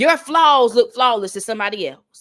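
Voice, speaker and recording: At a very fast pace, a woman with a Southern accent speaks high and animated, her intonation lively. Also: very clean recording, silent background. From North Carolina. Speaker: motivational speaker. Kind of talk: motivational talk.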